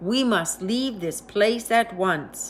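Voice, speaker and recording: A woman's put-on character voice, growling and medium in pitch, with ordinary pitch variation and clear background noise. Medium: read story.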